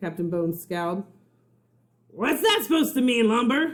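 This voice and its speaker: A put-on character voice, gruff and growling, at a fairly high pitch. It moves at a moderate pace. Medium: read story. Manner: gruff, growling, commanding.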